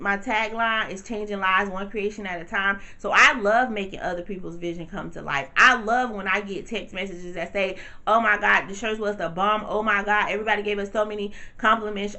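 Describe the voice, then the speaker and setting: A woman with a medium-pitched voice speaks at a fairly quick pace, her loudness swinging widely and hardly any pauses breaking her speech. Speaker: t-shirt business owner and vlogger. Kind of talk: casual vlog tutorial. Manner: fast; animated.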